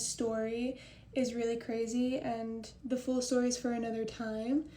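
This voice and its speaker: A woman's high-pitched voice with a dark, mellow tone, a fairly slow pace and fairly even intonation, with audible room echo. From Oklahoma. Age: 20s. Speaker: content creator and model. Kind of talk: casual chat. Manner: casual, conversational.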